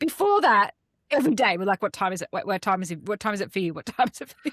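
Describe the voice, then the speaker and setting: Very fast and lively in intonation, a woman with an Australian accent talks at a medium pitch. The recording is very clean, dry and close, with no echo and a silent background. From Australia, Melbourne. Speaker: podcast co-host. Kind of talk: casual chat.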